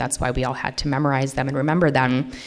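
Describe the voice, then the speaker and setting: This is a woman speaking with an American accent. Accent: can switch Minnesota accent on and off. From US Midwest, Minnesota. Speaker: literary translator and editor. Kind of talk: lecture. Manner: casual, many fillers.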